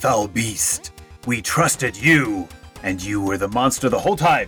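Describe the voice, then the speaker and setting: A put-on character voice over faint music in the background. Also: man, medium pitch for a man, moderate pace. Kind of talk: archaic heroic speech. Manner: noble, earnest, righteous anger.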